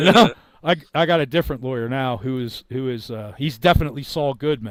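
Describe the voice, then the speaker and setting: A man talks with lively intonation. He keeps a moderate pace. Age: 50s. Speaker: online commentator. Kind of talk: casual chat. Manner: animated; halting.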